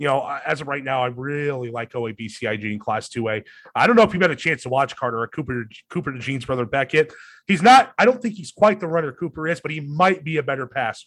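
In an American accent, a fairly high-pitched man speaks at a very fast pace with lively intonation and big swings in loudness. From Iowa, US Midwest. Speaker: radio sports director and podcast host. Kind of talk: casual chat. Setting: video call.

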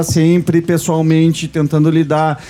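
A man with a southern Brazilian accent speaks at a fairly high pitch. Noticeable background noise runs under his voice. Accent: gaúcho Brazilian Portuguese. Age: 40s. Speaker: radio show host. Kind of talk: casual chat. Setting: studio.

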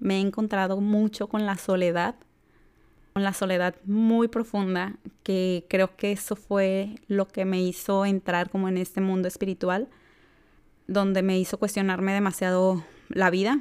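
A woman's monotone, flat delivery at a fairly slow pace, with very even loudness, in a very clean recording with a silent background. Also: medium pitch for a woman. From Mexico, Jalisco. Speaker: podcast host. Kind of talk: personal monologue.

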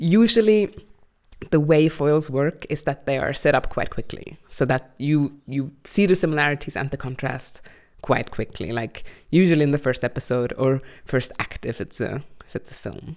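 At a moderate pace, a woman speaks in a very deep, low pitch with ordinary pitch variation. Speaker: podcast host. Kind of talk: casual chat. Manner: loud; animated.

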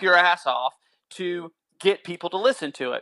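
An animated, bright and sharp voice in a Southern US accent. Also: man, dry, close sound with no echo. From North Carolina. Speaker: musician. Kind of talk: casual chat.

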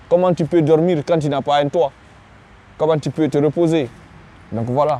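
This man has a fairly high voice for a man and fairly even intonation. He talks at a fairly quick pace. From Guinea. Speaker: refugee, student. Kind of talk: testimony. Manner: halting, many repetitions.

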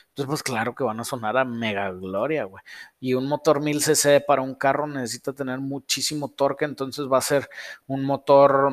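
A man's unremarkable speaking voice, fairly high in pitch, fairly even in intonation and moderate in pace, in a very clean recording with a silent background and a dry, close sound with no echo. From northern Mexico. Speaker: car tuning shop owner and livestream host. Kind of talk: casual livestream Q&A.

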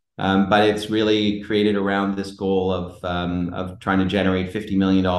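With a very deep, low pitch, a man talks at a fairly quick pace in a monotone, flat intonation. Audible room echo is present. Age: 40s. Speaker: entrepreneur. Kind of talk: casual chat.

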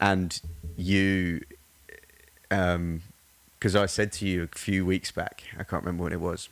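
Monotone, flat intonation with an English accent. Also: man. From England, Surrey. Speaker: personal trainer. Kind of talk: casual chat.

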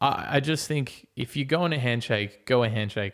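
With an Australian accent, a man of medium pitch and ordinary pitch variation speaks at a moderate pace in a very clean recording with a silent background. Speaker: podcast host. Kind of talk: casual monologue. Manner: rambling, casual with laughs.

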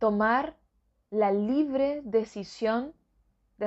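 This woman's voice is fairly high-pitched. She talks at a very slow pace. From northern Argentina. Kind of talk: religious reflection / Bible meditation.

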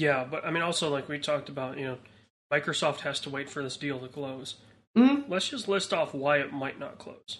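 A man's unremarkable speaking voice, fairly high in pitch, at a fairly quick pace with fairly even intonation. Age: 20s. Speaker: podcast co-host. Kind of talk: casual chat.

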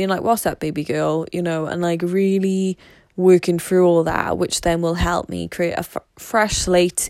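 Fairly low-pitched with a slightly mellow tone, a woman speaks at a fairly slow pace and with fairly even intonation.

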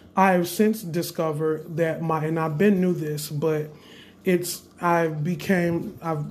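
A man talks at a high pitch with monotone, flat intonation. His pace is moderate, and audible room echo comes through. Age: 20s. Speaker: spiritual practitioner podcaster. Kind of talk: casual monologue.

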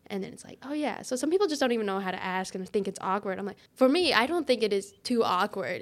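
A woman with a Midwestern American accent, on a very clean recording with a silent background. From US Midwest (Farmington, Missouri). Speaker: church staff member, podcast co-host. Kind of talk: casual chat.

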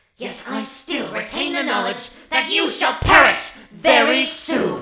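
At a fairly slow pace, a put-on character voice comes through with slight echo. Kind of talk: audio drama villain acting. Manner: gloating, theatrical menace.

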